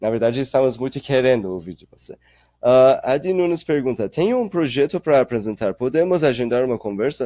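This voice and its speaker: A man with a non-native accent speaks at a medium pitch and a fairly quick pace. The intonation is lively, and the sound is dry and close with no echo. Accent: noticeable foreign accent in Portuguese. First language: not Portuguese (speaking Portuguese). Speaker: startup accelerator director. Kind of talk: webinar Q&A. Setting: online webinar. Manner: halting, with fillers.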